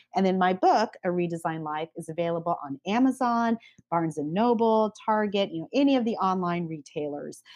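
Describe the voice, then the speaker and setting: Speaking at a fairly quick pace in a medium pitch, a woman has a plain, everyday voice and lively intonation, recorded with a dry, close sound and no echo. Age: 40s. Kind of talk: testimony.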